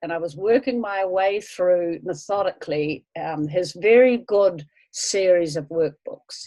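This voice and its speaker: A woman with a New Zealand accent, dark and mellow in tone, at a fairly slow pace with ordinary pitch variation. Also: medium pitch for a woman. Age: 70s. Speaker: language course student. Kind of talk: interview.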